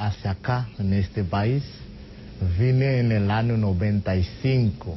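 A man's very slow, somewhat breathy speech at medium pitch with a Haitian accent, ordinary pitch variation and light background noise. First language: Haitian Creole (speaking Spanish). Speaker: immigrant association treasurer; guest. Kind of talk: TV interview. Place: studio. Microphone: lapel.

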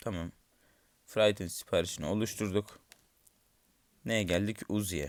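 A man talks at a fairly slow pace with fairly even intonation. He takes long, frequent pauses. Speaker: gaming YouTuber. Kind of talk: gameplay commentary. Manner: low-energy.

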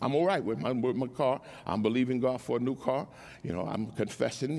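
A man talks at a fairly quick pace in an animated tone, with vocal fry and ordinary pitch variation. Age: 70s. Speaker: preacher. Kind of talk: sermon. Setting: church with congregation. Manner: animated, call-and-response. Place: church. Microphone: headset.

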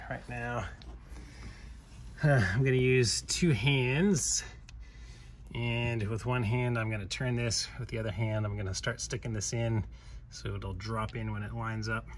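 Fairly slow pace with long, frequent pauses and light background noise. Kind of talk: tutorial. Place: garage. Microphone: phone near.

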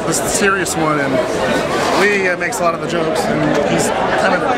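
A man talks at a very fast pace. Loud background noise fills the recording. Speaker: MMA radio commentator and interviewer. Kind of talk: interview question, casual. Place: stadium. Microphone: phone near.

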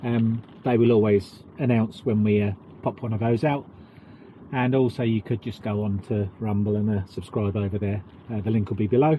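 Over light background noise, a man's somewhat breathy voice has a dark, mellow tone and a dry sound with no echo. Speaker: vlogger. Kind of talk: casual vlog chat. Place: boat. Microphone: camera far.

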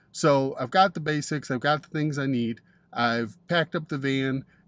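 A man keeps to a moderate pace, his pitch varying in an ordinary way. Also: dry sound with no echo. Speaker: van camping vlogger. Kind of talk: casual vlog chat. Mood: upbeat, chatty. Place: car. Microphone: phone near.

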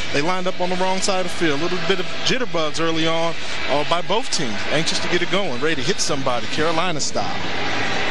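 A man speaks at a very fast pace in a high voice, his pitch varying in an ordinary way. His loudness stays very even, and there is noticeable background noise. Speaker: color commentator, former football player. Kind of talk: live commentary. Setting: stadium broadcast booth.

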